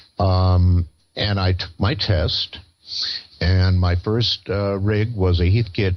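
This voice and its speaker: Music plays in the background as a man with an American accent and a very deep, low pitch talks at a very slow pace. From Pennsylvania. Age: 70s. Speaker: ham radio operator. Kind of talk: interview. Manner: halting, many fillers.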